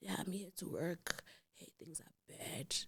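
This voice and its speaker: Someone speaks fairly slowly in a put-on character voice. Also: woman, fairly low pitch for a woman. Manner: commanding, ominous.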